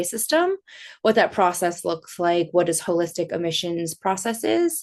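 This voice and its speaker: Against a quiet background, a woman with an American accent talks at a moderate pace in a medium pitch. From Los Angeles, California. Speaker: admissions consultant and attorney. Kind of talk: webinar presentation. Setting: online webinar.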